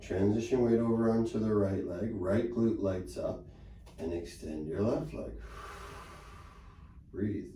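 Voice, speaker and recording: A man talks fairly slowly in a calm tone, his fairly low pitch showing ordinary variation. Audible room echo surrounds his voice. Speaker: pilates instructor. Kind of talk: exercise class instruction. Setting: studio. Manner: calm, encouraging.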